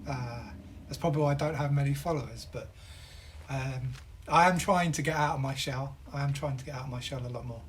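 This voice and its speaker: A somewhat breathy man talks at a moderate pace with fairly even intonation and a fairly high pitch. Audible room echo surrounds his voice. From southern England. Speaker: game streamer. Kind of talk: casual live-stream chat while gaming.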